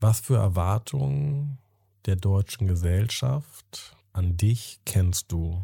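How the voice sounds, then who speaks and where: Very slow in pace, a man speaks in a somewhat breathy, fairly low voice on a very clean recording with a silent background. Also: lively intonation, dry, close sound with no echo. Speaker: podcast host. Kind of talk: interview conversation. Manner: calm, formal, empathetic.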